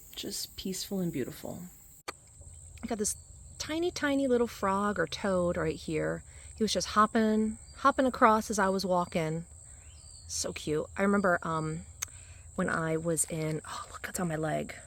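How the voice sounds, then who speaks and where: On a very clean recording with a silent background, a woman speaks at a medium pitch and moderate pace. Her intonation is lively, broken by long, frequent pauses. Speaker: hiking vlogger. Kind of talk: walking vlog narration. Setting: outdoors. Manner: casual.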